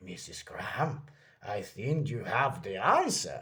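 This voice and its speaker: In a put-on character voice, the speaker uses lively intonation at a fairly slow pace. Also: man, fairly high pitch for a man. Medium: read story.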